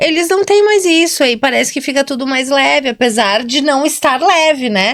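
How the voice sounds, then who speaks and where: Over noticeable background noise, a woman speaks at a high pitch with lively intonation. Her pace is moderate, with hardly any pauses. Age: 40s. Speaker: nurse and podcast co-host. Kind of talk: casual chat.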